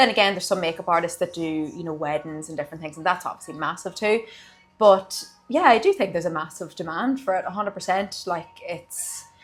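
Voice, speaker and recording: A woman with an Irish accent at a very fast pace and medium pitch, music in the background. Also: ordinary pitch variation. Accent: Irish (Louth). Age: 20s. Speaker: beauty therapist and studio owner. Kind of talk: interview.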